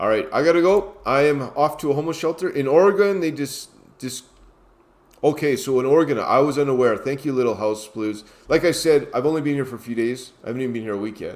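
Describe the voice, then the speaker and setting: A man with a Canadian accent speaks at a very fast pace, his fairly high pitch showing ordinary variation. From New York City, USA. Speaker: street pastor. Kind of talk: casual livestream chat. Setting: laptop livestream at mother's house. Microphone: laptop.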